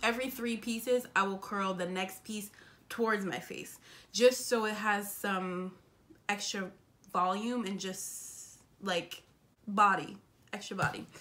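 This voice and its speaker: Speaking with an American accent, a woman talks at a medium pitch and a fairly slow pace with fairly even intonation, big swings in loudness, and long, frequent pauses. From US Northeast, Springfield, Massachusetts. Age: 20s. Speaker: beauty vlogger. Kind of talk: tutorial.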